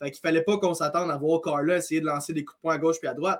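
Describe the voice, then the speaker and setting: High pitch from a male speaker, with ordinary pitch variation. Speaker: MMA analyst. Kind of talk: casual chat.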